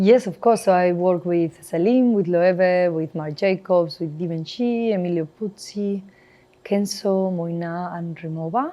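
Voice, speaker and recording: At a fairly slow pace, a woman with a Spanish accent speaks in a medium pitch with ordinary pitch variation. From northern Spain. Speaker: HR director. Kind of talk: interview conversation.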